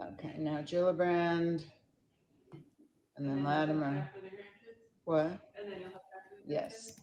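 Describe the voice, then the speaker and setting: A woman speaks with an American accent in a very deep, low voice with a dark, mellow tone. Her pitch varies in an ordinary way, and she talks at a very slow pace with long, frequent pauses. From New York. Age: 70s. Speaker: activist constituent. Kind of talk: phone call to senator's office.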